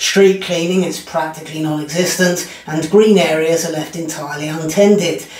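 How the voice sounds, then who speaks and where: A man speaks in a high pitch at a moderate pace with monotone, flat intonation. His voice carries audible room echo. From Britain. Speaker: comedian. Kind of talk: commentary monologue. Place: home room.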